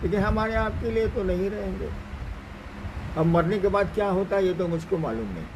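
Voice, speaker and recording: Noticeable background noise runs under this recording. A man speaks in a high pitch. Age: 70s. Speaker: spiritual teacher. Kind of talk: religious discourse answering questions.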